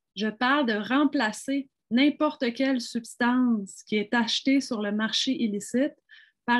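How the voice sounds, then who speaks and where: A woman with a high voice speaks at a very slow pace and with fairly even intonation, the sound dry and close with no echo over a quiet background. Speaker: physician. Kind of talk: panel discussion.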